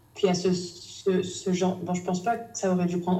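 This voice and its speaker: Here a woman speaks at a moderate pace with a fairly low pitch. Audible room echo surrounds her voice. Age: 20s. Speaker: novelist. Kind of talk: casual chat. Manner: halting.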